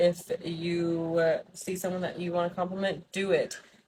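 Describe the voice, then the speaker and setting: At a fairly slow pace, a woman speaks in a fairly low, somewhat breathy voice. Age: 30s. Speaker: vlogger. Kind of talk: casual vlog monologue. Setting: outdoors.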